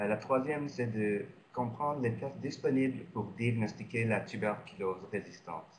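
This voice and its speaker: A man at medium pitch, fairly slow, with ordinary pitch variation and audible room echo. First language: not French (speaking French). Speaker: physician and researcher. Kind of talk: lecture. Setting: webinar. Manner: halting, many hesitations.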